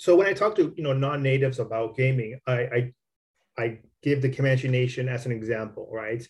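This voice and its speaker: With an American accent, a man of medium pitch speaks at a fairly quick pace, somewhat breathy, with ordinary pitch variation against a quiet background. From Southern California. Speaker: podcast host. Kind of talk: interview. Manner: halting.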